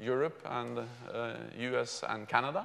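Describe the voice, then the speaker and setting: A man speaking at a very slow pace, with fairly even intonation. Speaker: keynote speaker. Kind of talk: speech. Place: hall. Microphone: lapel.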